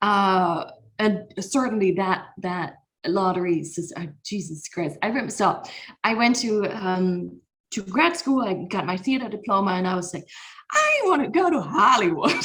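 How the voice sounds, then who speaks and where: Lively intonation in a German accent. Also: woman, medium pitch for a woman, moderate pace. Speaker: comedian. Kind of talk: casual chat.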